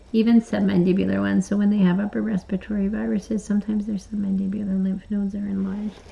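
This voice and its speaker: At a very fast pace, a woman speaks at a medium pitch with fairly even intonation. Noticeable background noise runs underneath. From Canada, British Columbia (Surrey). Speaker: veterinarian. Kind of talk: casual chat during a veterinary exam.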